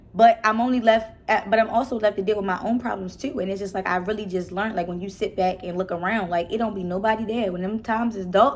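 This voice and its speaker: Speaking with a Baltimore accent, a woman rattles along at a very fast pace with hardly any pauses. Her tone is animated and her pitch is medium. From Baltimore, Maryland. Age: 20s. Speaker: YouTuber. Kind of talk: casual chat.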